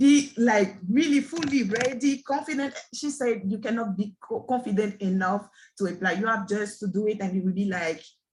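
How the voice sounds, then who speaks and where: A woman speaks with a French accent and lively intonation. Her pace is moderate. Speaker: aspiring scrum master. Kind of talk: group session testimony.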